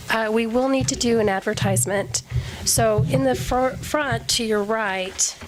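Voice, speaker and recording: A woman speaks at a fairly slow pace, her pitch medium and swinging very widely. Her loudness stays very even over noticeable background noise. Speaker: recruitment consultant presenting to city council. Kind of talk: presentation at council meeting. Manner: hesitant, many ums.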